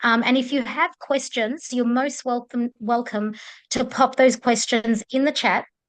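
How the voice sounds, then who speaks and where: Speaking at a moderate pace with fairly even intonation, this voice carries an Australian accent over a quiet background. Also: woman. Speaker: menopause coach. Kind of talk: webinar introduction. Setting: video call. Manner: hesitant, many filler ums.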